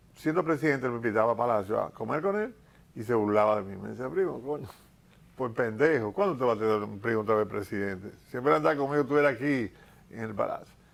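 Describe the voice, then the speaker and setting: Lively in intonation, a man at a medium pitch talks at a very fast pace. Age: 70s. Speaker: politician and painter. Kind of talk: TV interview.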